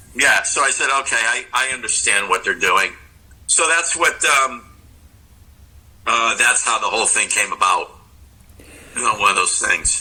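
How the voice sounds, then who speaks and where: A man speaks at a moderate pace with long, frequent pauses. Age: 60s. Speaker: rock guitarist. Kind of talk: casual interview chat. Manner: halting, many fillers and restarts.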